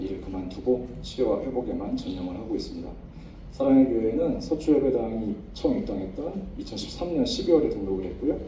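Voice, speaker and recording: Fairly quick speech from a man, with noticeable background noise and audible echo in the room. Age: 40s. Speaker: pharmacist giving church testimony. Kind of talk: testimony. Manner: halting.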